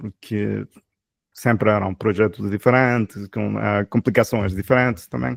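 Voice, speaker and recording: A man's voice comes through dry and close with no echo, on a very clean recording over a silent background. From Ecuador. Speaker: software developer, channel host. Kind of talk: casual interview chat. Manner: halting, many fillers.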